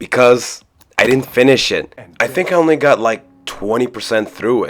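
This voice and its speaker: A man's voice with music in the background. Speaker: video game reviewer. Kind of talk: game review narration. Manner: casual, profane.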